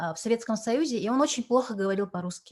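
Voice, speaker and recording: Here a woman's voice is somewhat breathy. Her pitch varies in an ordinary way. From Yakutia, Russia. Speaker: translator and cultural envoy. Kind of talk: interview. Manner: halting, many fillers.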